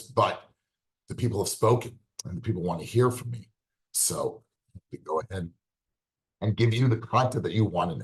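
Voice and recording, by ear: A raspy put-on character voice from a man at medium pitch, moderate in pace, with long, frequent pauses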